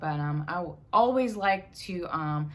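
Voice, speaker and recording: Audible room echo surrounds the speaker. She is a woman with a fairly low pitch. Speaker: cancer survivor vlogger. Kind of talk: casual vlog monologue. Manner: halting, many fillers.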